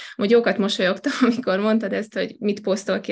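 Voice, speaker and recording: Noticeable background noise sits under the voice. A woman talks at a very fast pace. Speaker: network marketer. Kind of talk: podcast interview. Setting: virtual studio.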